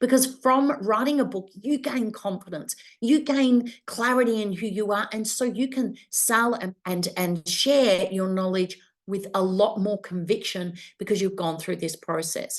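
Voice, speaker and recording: A woman speaks at a fairly slow pace with a fairly high pitch. She has an unremarkable speaking voice and ordinary pitch variation. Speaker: business coach and publisher. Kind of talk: webinar masterclass presentation.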